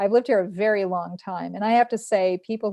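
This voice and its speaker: A woman with a New York accent speaks in a dark, mellow tone and a flat, monotone delivery. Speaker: local news publisher hosting a telethon. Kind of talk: casual interview chat.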